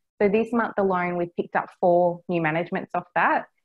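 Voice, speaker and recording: Speaking with an Australian accent, a woman has a fairly low pitch and ordinary pitch variation. Her pace is fairly quick. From Australia, Cairns, Far North Queensland. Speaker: property management business developer. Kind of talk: interview.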